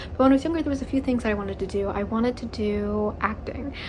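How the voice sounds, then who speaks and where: Over noticeable background noise, a woman speaks very fast in an animated tone at a fairly high pitch. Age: 20s. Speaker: YouTuber. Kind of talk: casual rant to camera.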